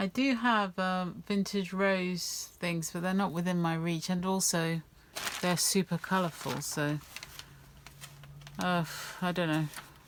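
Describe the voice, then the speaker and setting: Mumbling at a fairly slow pace, a woman speaks at a medium pitch with fairly even intonation, very even loudness and long, frequent pauses. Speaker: craft video maker. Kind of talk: craft tutorial chat. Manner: mumbling to herself; quiet, not talking very loud.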